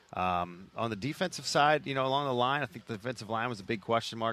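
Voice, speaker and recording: Bright and sharp in tone, a man speaks at a very fast pace with ordinary pitch variation. The background is quiet. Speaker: sports reporter. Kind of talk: casual sports talk. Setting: outdoor broadcast at training camp.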